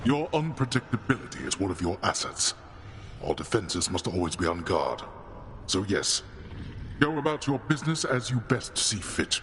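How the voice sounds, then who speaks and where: Someone speaks in a put-on character voice at a moderate pace. Long, frequent pauses break it up over clear background noise. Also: man, medium pitch for a man. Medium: video game. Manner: terse, authoritative.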